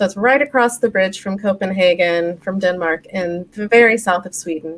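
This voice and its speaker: A woman speaks with an American accent in a normal speaking voice. Her pitch is medium and her pace moderate. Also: ordinary pitch variation. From United States. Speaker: flow metrics consultant. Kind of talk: interview on live-stream talk show.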